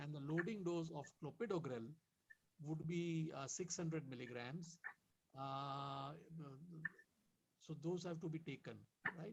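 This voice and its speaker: A soft-spoken man with a fairly high pitch, a fairly slow pace, and long, frequent pauses. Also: ordinary pitch variation. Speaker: doctor. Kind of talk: medical talk in webinar. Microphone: too quiet.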